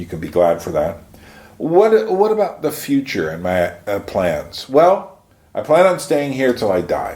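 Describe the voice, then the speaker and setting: A man speaks fairly slowly with an American accent. His pitch swings very widely. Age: 60s. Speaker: YouTuber, puppeteer. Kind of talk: casual monologue vlog. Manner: halting, many fillers.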